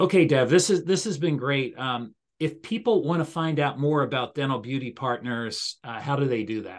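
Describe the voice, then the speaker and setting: Lively intonation with hardly any pauses comes through against a quiet background. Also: man, fairly high pitch for a man. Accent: American. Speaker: podcast host. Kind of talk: interview outro. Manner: fast. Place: office. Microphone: video call.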